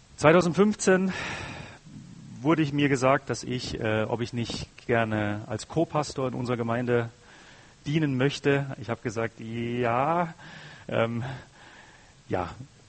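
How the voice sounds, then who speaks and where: A man talks at a very slow pace, with long, frequent pauses. His pitch varies in an ordinary way. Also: medium pitch for a man. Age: 30s. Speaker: guest preacher. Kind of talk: sermon.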